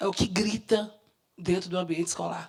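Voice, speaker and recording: With an ordinary speaking voice, a woman talks at a moderate pace, her fairly low pitch showing ordinary variation. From Minas Gerais, Brazil. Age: 50s. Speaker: educator and activist consultant. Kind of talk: public talk at seminar.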